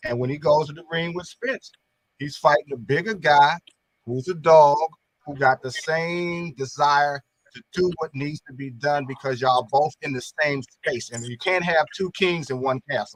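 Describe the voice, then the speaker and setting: Recorded with a dry, close sound and no echo, a man speaks somewhat breathily at a fairly high pitch and moderate pace, with ordinary pitch variation and big swings in loudness. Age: 60s. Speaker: boxing commentator. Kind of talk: panel discussion.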